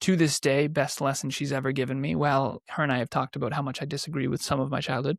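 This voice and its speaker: A man with a fairly high pitch and an American accent talks at a very fast pace with hardly any pauses and fairly even intonation. The recording is very clean with a silent background and a dry, close sound with no echo. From New England, US. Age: 30s. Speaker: entrepreneur and podcaster. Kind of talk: interview.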